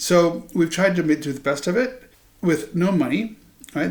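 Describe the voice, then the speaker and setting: A man with an American accent speaks at a moderate pace, his fairly high voice moving in lively intonation. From Iowa, US Midwest. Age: 60s. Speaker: political commentator. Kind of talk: monologue to camera. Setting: home living room. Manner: halting, with ums.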